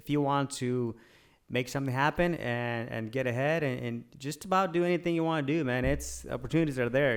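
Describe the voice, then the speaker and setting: A man speaks at a medium pitch with fairly even intonation and a Spanish accent. His pace is fairly quick, and the recording is very clean with a silent background. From Mexico, moved to US at eleven. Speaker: realtor and real estate investor. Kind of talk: podcast interview. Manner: halting, many fillers.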